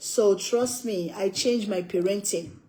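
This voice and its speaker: With lively intonation, a woman speaks in an African accent. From West Africa. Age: 60s. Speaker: cooking livestreamer. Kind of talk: casual livestream chat.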